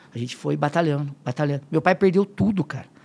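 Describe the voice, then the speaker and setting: A man, very fast, with a fairly high pitch. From Limeira, São Paulo state, Brazil; São Paulo State, Brazil. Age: 50s. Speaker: football fitness coach. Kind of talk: casual chat. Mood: emotional when telling family story. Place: studio. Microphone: studio mic.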